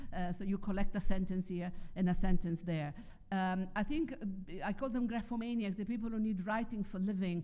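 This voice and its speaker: A woman with an Italian accent talks at a fairly quick pace in a dark, mellow tone, with audible room echo. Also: medium pitch for a woman, ordinary pitch variation. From Italy. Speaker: philosopher and writer. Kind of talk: conference talk.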